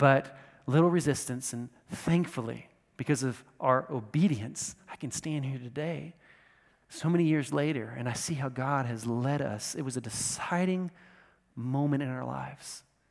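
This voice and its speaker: Someone with an American accent and a plain, everyday voice talks at a moderate pace with ordinary pitch variation. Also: man, medium pitch for a man. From United States. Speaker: pastor. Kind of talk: sermon. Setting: church.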